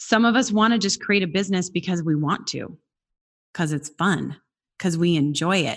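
A woman speaks at a moderate pace with fairly low pitch and ordinary pitch variation. It is a plain, everyday voice over a quiet background. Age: 40s. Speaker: success coach. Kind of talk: interview.

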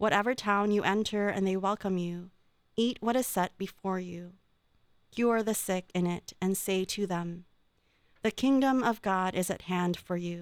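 Using a plain, everyday voice at medium pitch, a woman speaks fairly slowly with fairly even intonation. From Philippines, then California from age 11. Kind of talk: reading aloud.

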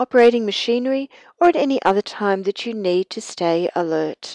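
A normal speaking voice from a woman, fairly high in pitch, with ordinary pitch variation and a dry, close sound with no echo. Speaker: meditation guide and energy healer. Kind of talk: guided meditation. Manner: slow, soothing, calm; gentle, hypnotic, unhurried.

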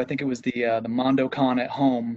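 A man is speaking. His pace is moderate. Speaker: podcast co-host. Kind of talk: casual interview. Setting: video call. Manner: animated, joking.

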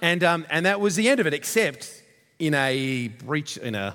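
In an Australian accent, a man talks at a moderate pace with lively intonation. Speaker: visiting pastor from a church plant. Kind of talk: sermon. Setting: church.

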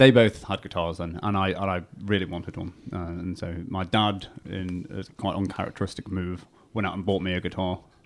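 A man with a very deep, low pitch and a northern English accent at a moderate pace, on a very clean recording with a silent background. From northern England, Warrington. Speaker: rock guitarist and singer. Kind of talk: radio interview. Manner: hesitant.

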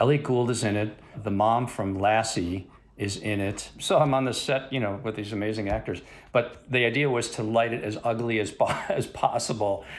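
At a moderate pace, a man talks in an ordinary speaking voice. His intonation is fairly even. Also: medium pitch for a man. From US Midwest, Chicago. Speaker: cinematographer. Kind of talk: interview.

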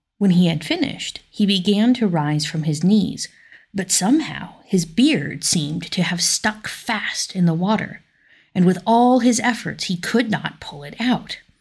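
Fairly slow, somewhat breathy delivery with lively intonation and a calm tone. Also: woman, medium pitch for a woman. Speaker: listener narrator. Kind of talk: folk tale narration, read aloud like a bedtime story. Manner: measured, storytelling pace, calm.

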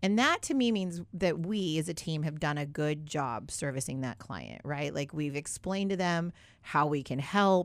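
On a very clean recording with a silent background, a woman with a very deep, low pitch speaks at a moderate pace with an animated tone and lively intonation. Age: 30s. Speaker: financial services staff and radio co-host. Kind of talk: casual radio talk show. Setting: radio studio.

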